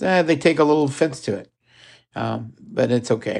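Over a quiet background, a man with a Midwestern accent speaks with ordinary pitch variation. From US Midwest. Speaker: podcast host. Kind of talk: casual monologue. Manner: halting, many fillers.

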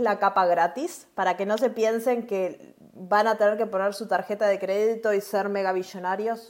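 With a Uruguayan accent, a woman talks at a moderate pace and medium pitch. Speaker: cloud developer advocate, podcast co-host. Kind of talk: casual tech chat.

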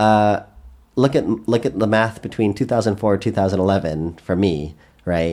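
The man's voice sits at a fairly low pitch and has a dark, mellow tone. His pitch varies an ordinary amount. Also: very clean recording, silent background. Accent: Canadian. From Canada. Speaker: software engineer. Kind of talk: casual interview. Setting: in an apartment. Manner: halting.

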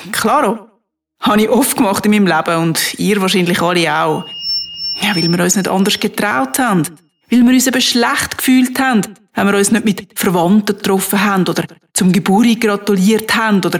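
In an unremarkable speaking voice, a woman talks at a moderate pace with fairly high pitch, lively intonation and very even loudness. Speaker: podcaster. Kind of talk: monologue. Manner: casual.

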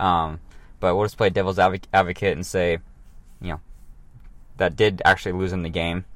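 A man speaks at a very deep, low pitch in a flat monotone. He moves at a fairly quick pace but leaves long, frequent pauses. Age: 30s. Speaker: fitness podcast host. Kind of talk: casual solo podcast monologue. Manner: casual, many fillers and restarts.

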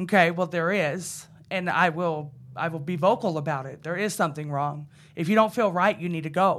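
A woman with an American accent speaks in a normal speaking voice at a moderate pace, fairly low in pitch with ordinary pitch variation. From Idaho. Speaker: recovering addict, court program graduate. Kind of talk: testimony.

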